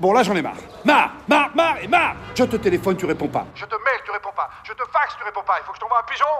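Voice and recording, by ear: A man uses a put-on character voice with a high pitch and a bright, sharp tone. He talks at a fast pace with big pitch swings over faint music in the background.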